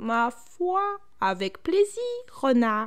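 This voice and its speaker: A female-sounding, put-on character voice speaks at a high pitch and a very slow pace. Very wide pitch swings stand out over light background noise. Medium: read story. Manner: calm, tranquil.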